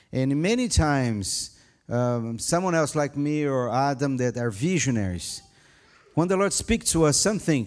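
A man with a Brazilian accent, at a fairly slow pace. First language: Portuguese. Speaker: pastor. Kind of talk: sermon. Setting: church.

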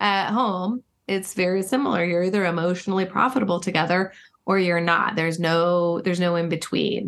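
A woman with an ordinary speaking voice talks at a medium pitch and a fairly quick pace. Her intonation is fairly even and her loudness very even. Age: 50s. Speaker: marriage and relationship expert. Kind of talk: interview conversation.

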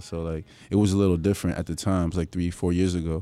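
At a very fast pace, a man with a very deep, low pitch talks in a dark, mellow tone and fairly even intonation. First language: Spanish. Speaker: musician. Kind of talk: casual chat. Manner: code-switching English and Spanish.

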